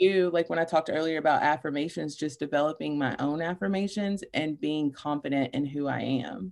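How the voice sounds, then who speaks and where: Against a quiet background, a speaker with a Kentucky accent talks at a fairly quick pace with hardly any pauses and ordinary pitch variation. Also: woman, very deep, low pitch for a woman. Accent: Kentucky Southern. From Kentucky, Paducah. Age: 30s. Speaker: clinical counselor and life coach. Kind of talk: casual interview chat.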